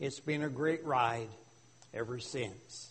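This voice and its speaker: A man with a Canadian accent speaks at a fairly slow pace, with audible room echo. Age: 80s+. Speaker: retired pastor. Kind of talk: sermon. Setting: church. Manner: loud.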